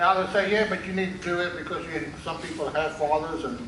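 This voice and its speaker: Amid noticeable background noise and audible room echo, a man with a South African accent talks at a very fast pace with fairly even intonation. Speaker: pastor. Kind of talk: sermon. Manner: halting.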